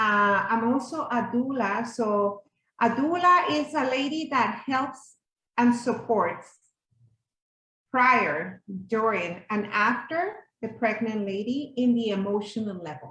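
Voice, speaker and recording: In a Spanish accent, a woman with a fairly high pitch and a bright, sharp tone speaks very slowly with lively intonation. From Mexico City. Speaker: yoga instructor and doula. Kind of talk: workshop presentation.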